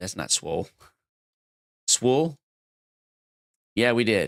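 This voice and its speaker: A man at a medium pitch speaks at a very slow pace with vocal fry, the sound dry and close with no echo. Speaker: livestreamer playing word games. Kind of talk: casual livestream chat. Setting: live stream. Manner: rambling, halting.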